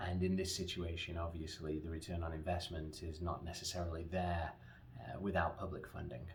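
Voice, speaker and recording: With an English accent, a man speaks in a very deep, low pitch with fairly even intonation. Noticeable background noise and audible room echo are present. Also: fairly quick pace. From England. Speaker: company founder pitching a manufacturing project. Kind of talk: promotional pitch. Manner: earnest, with frequent fillers.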